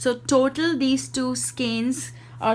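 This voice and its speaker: A woman with an Indian accent. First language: Hindi. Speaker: indie yarn dyer and craft video maker. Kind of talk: product showcase. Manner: halting, with fillers.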